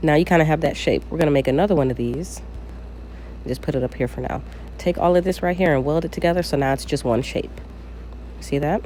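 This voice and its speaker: Very fast pace broken by long, frequent pauses, over noticeable background noise. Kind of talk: casual screen-recorded craft tutorial. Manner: casual, chatty, hesitant with fillers.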